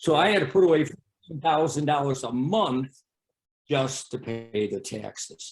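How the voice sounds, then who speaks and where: Over music in the background, a man with an American accent speaks fairly slowly at a fairly high pitch with ordinary pitch variation. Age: 60s. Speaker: bowling alley owner. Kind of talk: interview. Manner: halting.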